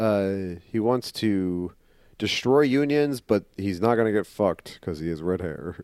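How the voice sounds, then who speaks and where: Against a very clean, silent background, a man with a Midwestern accent speaks at a very slow pace in a fairly low voice with ordinary pitch variation. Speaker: comic book podcast co-host. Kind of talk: casual comedic chat.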